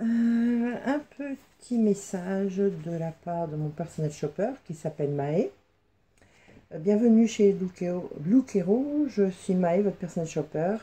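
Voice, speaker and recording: Very slowly and with lively intonation, a woman speaks at a medium pitch in a dark, mellow, somewhat breathy tone. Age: 50s. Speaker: fashion vlogger. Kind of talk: casual unboxing vlog. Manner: hesitant, many fillers.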